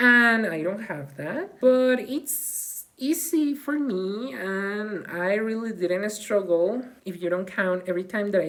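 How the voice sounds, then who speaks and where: Speaking with a non-native accent, a woman moves at a fairly slow pace with hardly any pauses, her medium pitch carried by lively intonation. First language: not English. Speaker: vlogger; graduate student in humanities. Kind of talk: personal vlog monologue.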